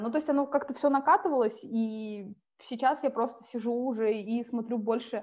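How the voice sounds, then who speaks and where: A woman is talking at a moderate pace. Her voice is high. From Siberia, Russia (Tomsk). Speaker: UX writer, former journalist. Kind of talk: interview conversation.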